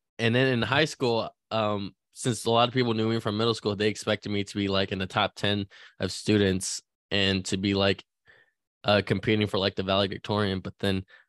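A man with a Californian accent talks at a fairly quick pace in a fairly low pitch with fairly even intonation, on a very clean recording with a silent background and a dry, close sound with no echo. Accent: general Californian American. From California, child of Chinese immigrants. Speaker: sports podcast host. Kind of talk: casual chat.

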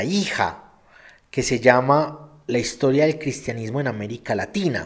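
A man is talking here. His intonation is lively. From England, London. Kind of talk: live Q&A stream. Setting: live stream.

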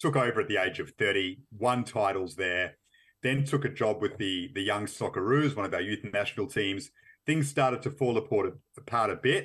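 A man with an Australian accent speaks at a moderate pace and medium pitch, with ordinary pitch variation against a quiet background. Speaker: football journalist. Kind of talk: interview.

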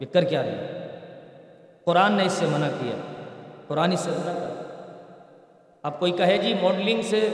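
Over noticeable background noise with audible room echo, a man talks at a high pitch with ordinary pitch variation. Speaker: Islamic preacher. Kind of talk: Quran commentary lecture. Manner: stern tone.

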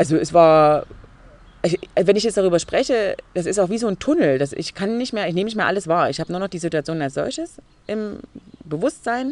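With lively intonation, a woman speaks at a medium pitch. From Saxony, Leipzig. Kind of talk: interview. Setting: outdoors in a garden.

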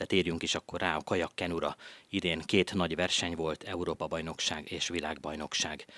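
A man talks very fast in a very deep, low pitch with a bright, sharp tone and monotone, flat intonation. The sound is dry and close with no echo, in a very clean recording with a silent background. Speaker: radio host. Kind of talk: radio interview. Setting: studio.

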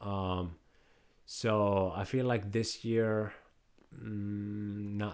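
A very clean recording with a silent background, featuring a man with a fairly low pitch. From Iraq. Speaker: football fan guest. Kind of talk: casual chat.

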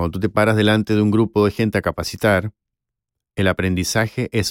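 A man with an unremarkable speaking voice. The recording is very clean, dry and close, with a silent background and no echo. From Chile. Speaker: voice actor and former university professor. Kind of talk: interview.

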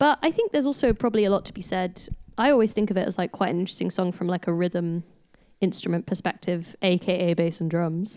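This woman talks at a very fast pace with a dark, mellow tone, a medium pitch, and ordinary pitch variation. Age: 20s. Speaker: band member, singer. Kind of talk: casual chat among bandmates.

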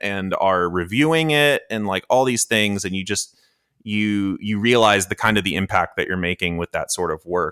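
A man speaks with an American accent in an ordinary speaking voice. His pitch is fairly low and his pace fairly quick. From US South, Georgia. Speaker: techno producer and software engineer. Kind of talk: casual chat.

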